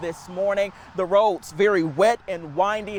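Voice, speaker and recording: Noticeable background noise behind a man speaking at a high pitch. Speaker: TV news reporter and anchor. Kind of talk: TV news reporting.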